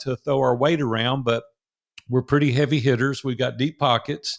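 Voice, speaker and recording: A medium-pitched man with a Southern US accent, in a very clean recording with a silent background. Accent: Southern drawl. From US South, Nashville, Tennessee. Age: 60s. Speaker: entrepreneur. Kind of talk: interview storytelling.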